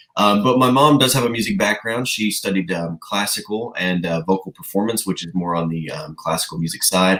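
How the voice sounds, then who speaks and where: In a Southern US accent, a man speaks at a fairly quick pace with hardly any pauses, his fairly low voice bright and sharp with lively intonation. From Tennessee. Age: 20s. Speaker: country singer. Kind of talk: interview. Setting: video call.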